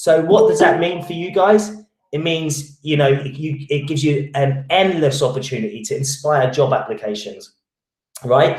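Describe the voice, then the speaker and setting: Fairly high pitch for a man, with ordinary pitch variation. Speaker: recruitment marketing trainer. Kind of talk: online training webinar. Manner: fast; halting, many restarts and fillers.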